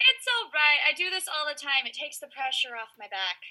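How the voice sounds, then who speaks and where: A woman uses a put-on, squeaky character voice pitched high, with very wide swings in pitch. She talks at a fairly quick pace, and her loudness swings a lot. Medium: audio drama.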